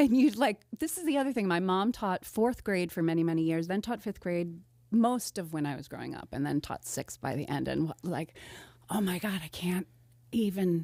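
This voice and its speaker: In a very clean recording with a silent background, a woman with an American accent talks at a moderate pace and medium pitch. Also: lively intonation. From US Northeast, Delaware County near Philadelphia. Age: 50s. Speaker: comedian and teaching artist. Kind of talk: casual podcast interview. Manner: halting, many fillers and restarts.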